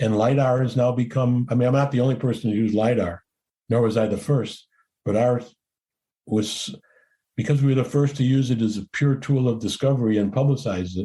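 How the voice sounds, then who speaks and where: Over a quiet background, a man with a dark, mellow, somewhat breathy tone talks at a fairly quick pace and medium pitch with fairly even intonation. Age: 70s. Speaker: explorer and cinematographer. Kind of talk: interview. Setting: podcast interview.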